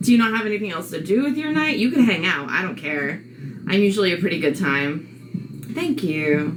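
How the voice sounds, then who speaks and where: A woman's medium-pitched voice with very wide pitch swings at a fairly quick pace, with audible room echo and noticeable background noise. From New York, Long Island. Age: 40s. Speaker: live streamer. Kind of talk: casual live-stream chat. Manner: loud; chatty, with fillers.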